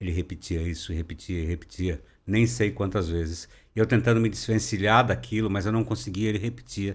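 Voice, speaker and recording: Talking at a fairly quick pace, a man with a fairly low pitch uses lively intonation and vocal fry. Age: 60s. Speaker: overland traveler; podcast guest. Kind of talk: interview. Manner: conversational, filler-heavy. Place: studio. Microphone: studio mic.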